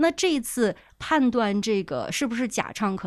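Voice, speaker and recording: A woman speaks fairly slowly at a fairly high pitch, her voice swinging very widely in pitch. There is vocal fry in her voice, and the background is quiet. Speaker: professional audio editor. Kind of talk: casual podcast discussion.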